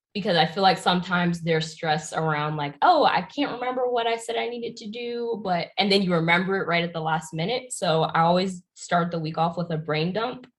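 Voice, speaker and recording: A woman with a General American accent talks at a fairly quick pace with hardly any pauses, her fairly low, somewhat breathy voice carrying lively intonation. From Pennsylvania, US. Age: 20s. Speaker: YouTuber and entrepreneur. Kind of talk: interview.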